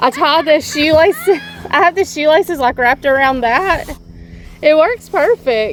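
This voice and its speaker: A woman with a slight Southern accent talks with a high pitch and lively intonation. Her loudness stays very even over noticeable background noise. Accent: slight southern drawl. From Georgia (US South). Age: 30s. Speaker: travel vlogger. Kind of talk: casual chat.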